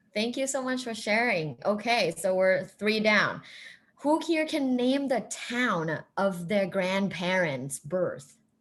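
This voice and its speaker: Delivery is very slow, with very wide pitch swings. Audible room echo surrounds the voice. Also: woman, medium pitch for a woman. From Thailand. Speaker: professor. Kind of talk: interactive lecture.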